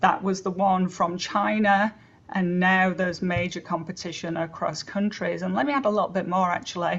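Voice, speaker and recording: Somewhat breathy, a woman with an American accent speaks at medium pitch and a moderate pace, with ordinary pitch variation. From England. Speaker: webinar speaker on AI in education. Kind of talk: webinar talk. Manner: conversational, with fillers.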